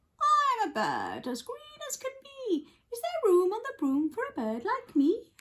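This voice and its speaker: A put-on character voice, female-sounding, squeaky and shrill at an extremely high pitch. It moves at a moderate pace with very wide pitch swings. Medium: read story.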